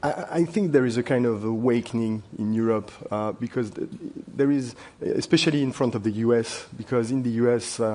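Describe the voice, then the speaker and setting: Speaking with a French accent, a man talks at a fairly quick pace in a dark, mellow tone. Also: medium pitch for a man, ordinary pitch variation. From France. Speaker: wealth manager. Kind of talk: panel discussion. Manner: halting.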